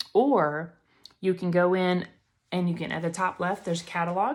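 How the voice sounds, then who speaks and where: A woman's fairly low voice with a Southern US accent. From Alabama, US South. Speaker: makeup seller and beauty influencer. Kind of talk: tutorial. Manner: fast; animated.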